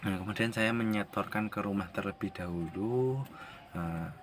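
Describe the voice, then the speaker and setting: An ordinary speaking voice, delivered at a fairly slow pace. The pitch varies in an ordinary way. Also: man. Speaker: vlogger. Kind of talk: casual vlog.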